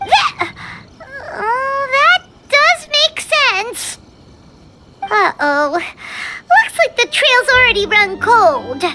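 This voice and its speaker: The put-on character voice is extremely high-pitched. It moves at a very slow pace. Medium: video game. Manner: lively, expressive.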